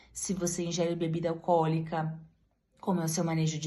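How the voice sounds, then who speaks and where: With audible room echo, a woman speaks at a fairly quick pace in a very deep, low, somewhat breathy voice. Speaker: breast surgeon (mastologist). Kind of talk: medical explainer talk to camera.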